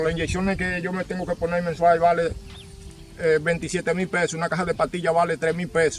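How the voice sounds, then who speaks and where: Music plays in the background. A man talks at a high pitch with monotone, flat intonation. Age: 60s. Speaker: farmer. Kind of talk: testimony.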